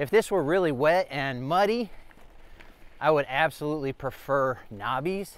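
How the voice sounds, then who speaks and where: A man speaks at a moderate pace with ordinary pitch variation. The sound is dry, with no echo. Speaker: product reviewer. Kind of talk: review commentary while riding. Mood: cheerful, laughing. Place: bicycle. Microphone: phone near.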